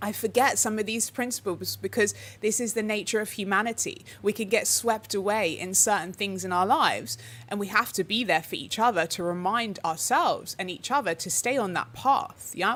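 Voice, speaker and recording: A woman speaks in an unremarkable speaking voice at medium pitch and a moderate pace, with ordinary pitch variation. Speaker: spiritual teacher, channel host. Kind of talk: live stream talk. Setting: livestream with chat.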